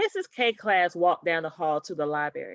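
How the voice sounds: Recorded dry and close with no echo, a woman speaks at a moderate pace, her fairly low pitch making big swings. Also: fairly bright tone.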